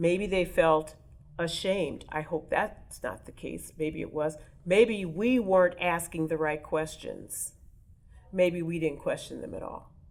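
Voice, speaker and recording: A woman with an American accent uses a normal speaking voice at a fairly low pitch and a fairly slow pace. Her intonation is fairly even, though her loudness swings widely. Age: 60s. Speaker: oral history interviewee. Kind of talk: interview.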